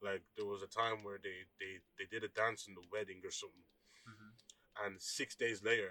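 Delivering his words in a monotone, flat intonation, a man with an Irish accent speaks at a moderate pace and fairly low pitch, with big swings in loudness. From Ireland. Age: 20s. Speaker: church musician. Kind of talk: casual chat.

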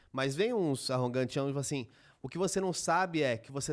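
Recorded very cleanly against a silent background, a man speaks with a São Paulo accent. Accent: paulistano Brazilian Portuguese. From São Paulo city, Brazil. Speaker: podcast co-host.

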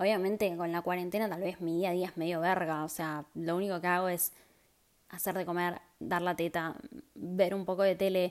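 Her fairly low voice keeps a flat monotone as this woman speaks at a moderate pace on a very clean recording with a silent background. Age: 20s. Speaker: podcast host. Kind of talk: casual monologue. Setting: at home. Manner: casual, chatty.

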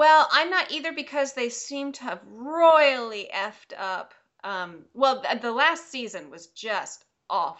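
A woman's high pitch with very wide pitch swings at a very slow pace. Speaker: podcast co-host. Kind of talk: casual chat. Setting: remote recording. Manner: giggly.

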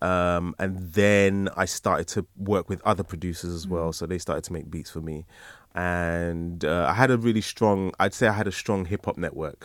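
Speech here unfolds at a moderate pace. The background is silent and the recording very clean. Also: man, very deep, low pitch for a man. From London and Nigeria (Lagos). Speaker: rapper and educator. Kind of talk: interview, casual chat. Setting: studio. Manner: animated.

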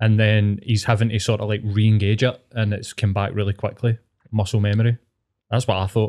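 In a Scottish accent, a man talks at a fairly quick pace with monotone, flat intonation, the sound dry and close with no echo on a very clean recording with a silent background. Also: fairly low pitch for a man. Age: 40s. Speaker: podcast guest. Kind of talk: casual chat.

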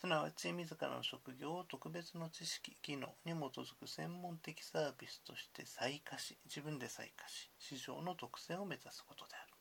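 Whispering at a moderate pace, the speaker goes on with hardly any pauses. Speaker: university lecturer. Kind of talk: lecture. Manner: formal.

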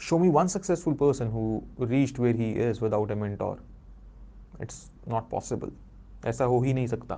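Long, frequent pauses break up a man's speech at a moderate pace. His medium-pitched voice has a dark, mellow tone and ordinary pitch variation. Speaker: podcast host, self-help coach. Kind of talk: motivational monologue. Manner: animated.

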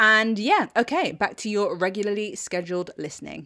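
A medium-pitched woman's voice with a British accent, on a very clean recording over a silent background. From Britain. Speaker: TV review podcast host. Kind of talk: solo scripted review monologue.

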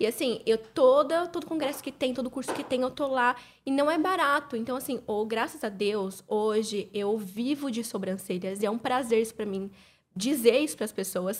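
Moderate speed, lively intonation, a plain, everyday voice. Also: woman, fairly high pitch for a woman. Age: 20s. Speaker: beauty entrepreneur. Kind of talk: casual chat.

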